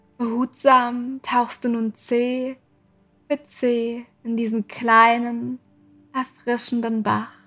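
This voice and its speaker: A high-pitched woman's voice, very slow and monotone with flat intonation, calm and soothing in tone, over music in the background. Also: dry, close sound with no echo. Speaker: meditation guide and podcast host. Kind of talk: guided meditation. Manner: slow, soft-spoken; calm, soothing, with long pauses.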